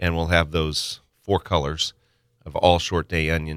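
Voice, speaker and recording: A man speaks very slowly in a very deep, low pitch with a bright, sharp tone and fairly even intonation. The very clean recording has a silent background and a dry, close sound with no echo. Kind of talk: casual radio banter. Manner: relaxed, storytelling, bantering.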